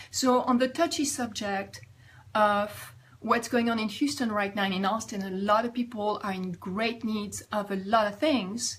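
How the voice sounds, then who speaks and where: Speaking with a French accent, a woman talks at a moderate pace in a fairly high, somewhat breathy voice. Her pitch varies in an ordinary way. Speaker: life coach. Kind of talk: vlog advice talk.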